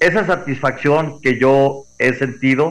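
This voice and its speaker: A man speaks in an unremarkable speaking voice. His pitch varies in an ordinary way. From Mexico, Guadalajara. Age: 60s. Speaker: former racing driver. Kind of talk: interview.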